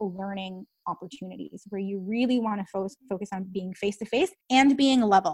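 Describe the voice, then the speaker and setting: The voice is somewhat breathy, with ordinary pitch variation. The pace is moderate. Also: woman. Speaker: speech language pathologist. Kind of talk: casual interview.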